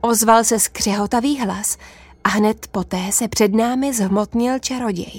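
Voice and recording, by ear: A natural voice reading aloud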